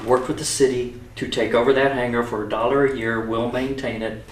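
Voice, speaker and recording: A man's fairly even intonation, with audible room echo and noticeable background noise. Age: 60s. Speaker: aviation photographer. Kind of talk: casual interview.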